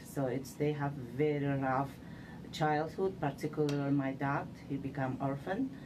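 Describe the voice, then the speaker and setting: A woman with an Uzbek accent, very deep and low in pitch, at a moderate pace with monotone, flat intonation. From Uzbekistan. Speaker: civil engineer, city manager. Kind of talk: interview. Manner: halting.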